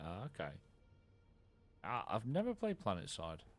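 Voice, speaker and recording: The voice belongs to a man. He talks in an English accent. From England. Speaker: gaming streamer. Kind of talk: live stream commentary with co-player. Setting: live stream while gaming. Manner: casual.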